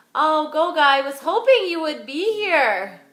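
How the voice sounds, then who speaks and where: In a room with audible echo, a woman talks at a fairly slow pace, her pitch swinging very widely. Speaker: yoga instructor. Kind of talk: yoga class instruction. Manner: carrying voice.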